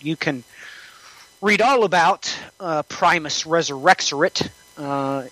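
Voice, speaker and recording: A fairly high-pitched man, with a dry, close sound and no echo, plus noticeable background noise. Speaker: prophecy podcaster. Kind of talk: casual chat.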